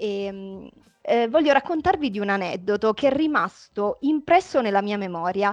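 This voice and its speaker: A woman talks at a moderate pace and a medium pitch. Her intonation is lively. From Italy, home town left for Milan. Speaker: emerging novelist. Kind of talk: interview, casual chat. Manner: hesitant with fillers.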